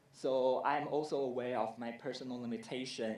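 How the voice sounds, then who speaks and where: Here a man speaks with a medium pitch at a moderate pace. There is audible room echo. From Taiwan. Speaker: film festival director. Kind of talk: conference presentation. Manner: hesitant, many fillers.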